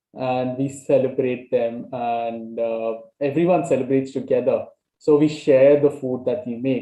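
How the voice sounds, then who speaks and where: A man speaks with a Goan accent at a very slow pace. His pitch sits in the medium range. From Goa, India. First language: Konkani. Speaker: language exchange participant. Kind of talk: casual conversation. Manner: halting, many fillers.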